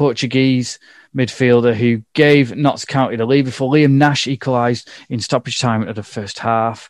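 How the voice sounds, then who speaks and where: With an English accent, a man talks at a moderate pace and medium pitch, his intonation fairly even, in a dry, close sound with no echo and a quiet background. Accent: regional English accent (drops h). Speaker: football podcast host. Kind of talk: casual chat.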